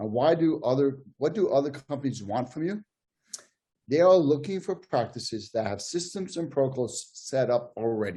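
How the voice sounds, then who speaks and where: The voice is dark, mellow and somewhat breathy. It moves at a moderate pace with lively intonation. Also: man, fairly high pitch for a man. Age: 60s. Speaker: podiatrist. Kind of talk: panel discussion.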